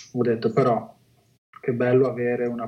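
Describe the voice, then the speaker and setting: Pitched in a medium range, a man's voice moves at an average speed. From Liguria, Italy (Chiavari). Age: 40s. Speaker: entrepreneur. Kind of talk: interview.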